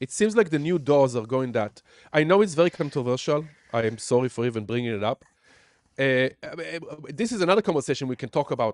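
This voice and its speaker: An animated man with a strong Israeli accent speaks at medium pitch with lively intonation, the sound dry and close with no echo. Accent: Israeli accent, thick. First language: Hebrew. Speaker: music producer and teacher. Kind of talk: casual chat. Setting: live stream from home studio.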